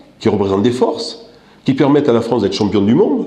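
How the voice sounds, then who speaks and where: A man's voice moves through very wide pitch swings, with audible room echo around it. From North Africa. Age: 60s. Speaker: political candidate. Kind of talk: interview. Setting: office. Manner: hesitant, many fillers.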